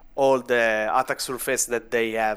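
With an Italian accent, a man speaks at a medium pitch in a monotone, flat delivery. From Italy. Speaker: vulnerability researcher. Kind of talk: casual interview.

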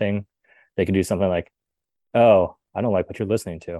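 A man with an American accent, a very deep, low pitch and a dark, mellow tone, in a dry, close sound with no echo over a quiet background. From Southern California. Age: 20s. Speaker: tech startup founder. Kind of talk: podcast interview.

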